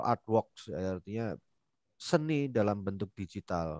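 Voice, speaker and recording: Over a quiet background, a man speaks with an ordinary speaking voice, fairly low in pitch with ordinary pitch variation, the sound dry with no echo. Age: middle-aged. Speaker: webinar moderator, civil servant; webinar moderator. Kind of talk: casual webinar interview. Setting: video call. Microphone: headset.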